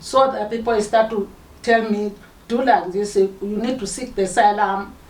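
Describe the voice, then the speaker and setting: A fairly high-pitched woman at a moderate pace, with fairly even intonation and noticeable background noise. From Zimbabwe. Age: 60s. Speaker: modern slavery survivor. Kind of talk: interview testimony. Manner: halting.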